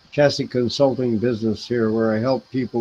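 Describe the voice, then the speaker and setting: A man talks with monotone, flat intonation over noticeable background noise. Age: 70s. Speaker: local political party officer. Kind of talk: interview.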